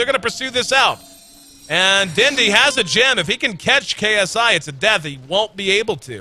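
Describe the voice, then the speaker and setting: Amid noticeable background noise, a man speaks in a raised, projected voice with very wide pitch swings. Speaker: esports commentator. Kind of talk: live commentary. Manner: loud; fast.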